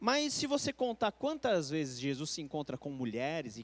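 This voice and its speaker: A man talks at a moderate pace and high pitch with very wide pitch swings. The sound is dry and close with no echo, on a very clean recording with a silent background. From Brazil. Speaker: pastor. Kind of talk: Bible study lecture. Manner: conversational.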